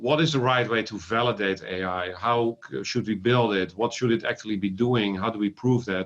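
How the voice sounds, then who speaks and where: A man with a Dutch accent speaks at a moderate pace with hardly any pauses. His pitch is fairly low, with ordinary variation. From Netherlands. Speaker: ophthalmologist and AI company founder. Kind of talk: interview. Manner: halting with fillers.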